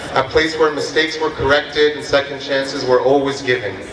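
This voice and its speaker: Amid noticeable background noise and audible room echo, a man talks in a fairly high pitch. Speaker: pharmacy graduate giving graduation speech. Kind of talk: graduation speech.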